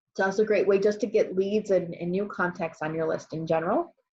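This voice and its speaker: This woman's voice sits at a medium pitch with ordinary pitch variation. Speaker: business coach. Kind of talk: live webinar presentation. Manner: fast.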